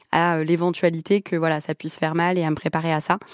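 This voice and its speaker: Against a quiet background, a woman's fairly low-pitched voice comes through with a dry, close sound and no echo. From France, Lebanese family. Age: 20s. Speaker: charity founder. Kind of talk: radio interview.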